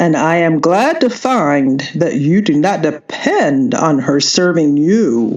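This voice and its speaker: A woman's put-on character voice, very deep and low, fairly slow with lively intonation, very even loudness and hardly any pauses. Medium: read story. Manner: dry, ironic.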